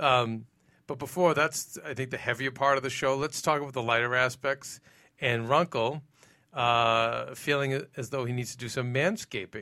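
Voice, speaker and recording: Speaking in a Boston accent at a moderate pace, a man has a bright, sharp tone, medium pitch and ordinary pitch variation, on a very clean recording with a silent background. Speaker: TV recap show host. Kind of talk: casual panel discussion. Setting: studio.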